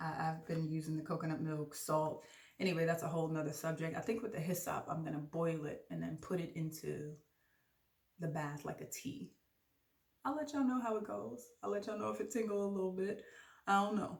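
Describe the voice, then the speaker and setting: Against audible room echo, a woman with an American accent speaks fairly quickly in an animated tone, her fairly low voice moving with lively intonation. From Jamaican from Brooklyn, New York. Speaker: podcast host. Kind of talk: casual vlog monologue. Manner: fast.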